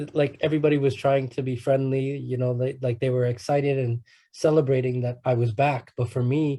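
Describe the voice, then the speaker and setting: This man has a dark, mellow tone that is somewhat breathy. His delivery is monotone and flat at a fairly quick pace. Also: medium pitch for a man, quiet background. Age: 30s. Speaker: guest speaker, ex-prisoner and rapper. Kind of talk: talk at youth conference. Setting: conference. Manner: halting, many repeated words.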